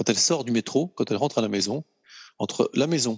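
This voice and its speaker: With lively intonation, a man moves along at a fairly quick pace. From France. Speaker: luxury goods executive. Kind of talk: casual interview. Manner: hesitant, many fillers.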